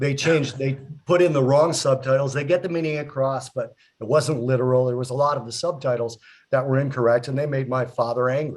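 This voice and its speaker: Somewhat breathy and medium in pitch, a man speaks at a fairly quick pace with fairly even intonation. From US, child of Italian immigrants. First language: Italian. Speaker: talk show co-host. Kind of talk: casual chat.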